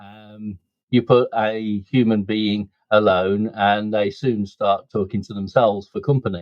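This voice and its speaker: A man in a Birmingham accent, fairly slow, with monotone, flat intonation. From Birmingham, England. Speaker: businessman and community volunteer. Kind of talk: podcast interview.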